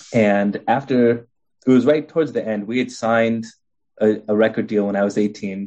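With a Californian accent, a man speaks at a moderate pace in a dark, mellow tone, his pitch medium and his intonation fairly even. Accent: Californian American English. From US West Coast, Los Angeles. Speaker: author and spiritual teacher. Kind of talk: interview.

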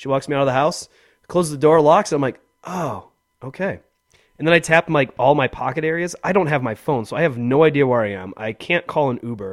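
Here is an ordinary speaking voice at a fairly quick pace. The intonation is lively. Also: man, fairly high pitch for a man. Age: 30s. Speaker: podcast co-host. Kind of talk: casual chat.

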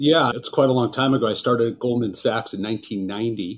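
With an American accent, a man talks at a fairly quick pace in a plain, everyday voice, his medium pitch carried by fairly even intonation. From Los Angeles, California. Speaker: wealth management executive. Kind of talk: interview.

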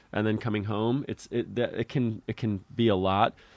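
In an unremarkable speaking voice with an American accent, a man talks at a fairly slow pace and fairly low pitch with fairly even intonation, captured in a very clean recording with a silent background. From Connecticut, US. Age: 30s. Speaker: clown and physical theater artist. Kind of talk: casual chat. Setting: in his bedroom.

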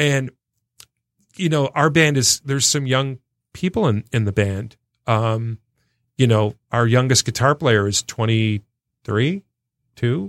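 A man's medium-pitched voice at a very slow pace, with long, frequent pauses, ordinary pitch variation, a dry, close sound with no echo, and a very clean recording against a silent background. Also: very even loudness. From Michigan, Detroit area. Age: 50s. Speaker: band manager. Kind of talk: casual chat.

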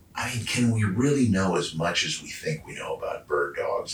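Noticeable background noise runs through the clip. Over it, a man speaks with an American accent. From Georgia. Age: 40s. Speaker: founder of a hunting brand. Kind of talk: casual chat. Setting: living room.

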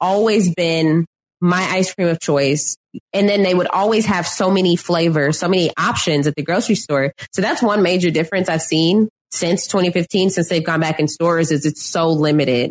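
A woman with an American accent speaks at a moderate pace and fairly low pitch, with ordinary pitch variation and very even loudness. The sound is dry and close, with no echo. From Texas (Houston area). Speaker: podcast guest. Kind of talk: casual chat.

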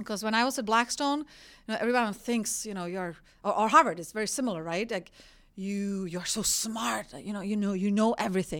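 Her Czech accent comes through with lively intonation at a fairly quick pace. The woman's pitch is medium, and the recording is very clean with a silent background. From Czech Republic, rural village. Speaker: energy executive. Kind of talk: interview.

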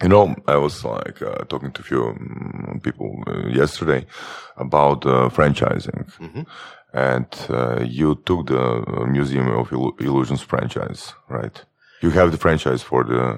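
A man with a very deep, low pitch and a Croatian accent, ordinary pitch variation, and a fairly slow pace. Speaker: podcast co-host. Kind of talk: podcast interview.

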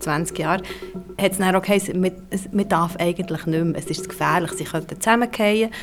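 A woman's medium-pitched voice is heard against noticeable background noise. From Switzerland, near Krauchthal, Bern. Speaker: author and journalist. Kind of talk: group conversation.

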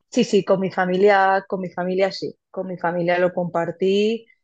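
A woman talks at a fairly slow pace and a medium pitch against a quiet background. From Valencia region, Spain. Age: 30s. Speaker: podcast listener sharing birth story. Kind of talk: personal testimony. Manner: halting, many repetitions and fillers.

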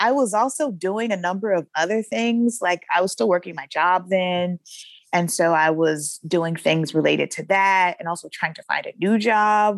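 Using an unremarkable speaking voice with an American accent, a woman talks at a moderate pace and medium pitch, with ordinary pitch variation, in a dry, close recording with no echo. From US South, Shreveport, Louisiana. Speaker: poet and writer. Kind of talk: interview conversation. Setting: podcast interview.

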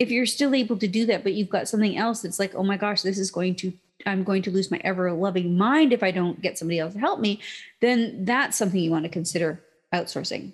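Somewhat breathy, a woman speaks very fast at a medium pitch with ordinary pitch variation. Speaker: podcast host. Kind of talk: solo podcast monologue, mock-angry rant. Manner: animated, emphatic, punchy; laughs often, playful.

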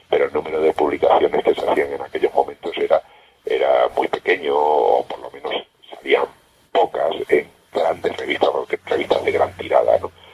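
Recorded with a dry, close sound and no echo, a man speaks amid noticeable background noise. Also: moderate pace. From Extremadura, Spain. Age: 50s. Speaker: science radio presenter. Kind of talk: interview. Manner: halting.

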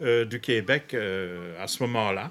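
With music playing in the background, a man is speaking. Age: 70s. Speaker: author and freemason. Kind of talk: interview.

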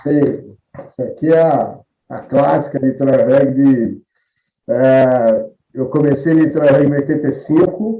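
A man's very slow delivery, fairly even in intonation and dark and mellow in tone. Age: 50s. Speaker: rugby player and club figure. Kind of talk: casual interview chat. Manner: halting, repeats words.

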